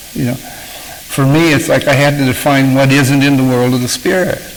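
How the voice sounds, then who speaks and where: A man at a moderate pace, medium in pitch with fairly even intonation, amid audible room echo and noticeable background noise. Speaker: author and recovery speaker. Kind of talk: talk to a recovery group. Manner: halting, with many fillers.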